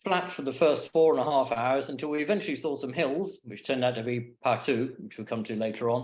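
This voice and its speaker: A man with an ordinary speaking voice talks at medium pitch and a moderate pace, using ordinary pitch variation. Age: 60s. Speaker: paraglider giving a talk. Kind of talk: slideshow presentation. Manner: casual, with fillers.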